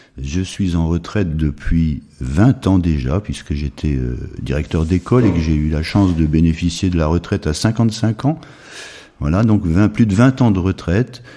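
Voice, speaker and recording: A man with a very deep, low pitch talks at a moderate pace with lively intonation over noticeable background noise. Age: 70s. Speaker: retired school headmaster, charity president. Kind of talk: interview. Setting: charity premises.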